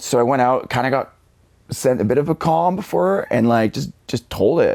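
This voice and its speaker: Speaking in a Western Canadian accent, a man uses an animated tone, lively intonation and vocal fry, at a moderate pace and medium pitch. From Canada (Vancouver suburbs, British Columbia). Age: 40s. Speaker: motivational speaker. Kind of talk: podcast interview. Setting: studio. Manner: casual, animated storytelling.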